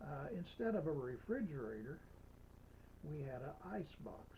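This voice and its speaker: A man talks at a fairly slow pace. His tone is dark, mellow and somewhat breathy. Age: old. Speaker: storytelling grandfather. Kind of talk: personal history storytelling. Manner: slow, folksy, hesitant.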